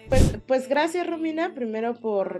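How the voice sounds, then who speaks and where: A woman's voice with music in the background. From Mexico City. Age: 30s. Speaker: senator and afro-descendant rights activist. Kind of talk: interview. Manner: hesitant, many fillers.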